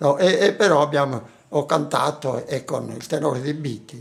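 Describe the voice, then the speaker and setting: This man's voice carries vocal fry, with ordinary pitch variation. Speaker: anthropologist. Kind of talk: interview. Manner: halting.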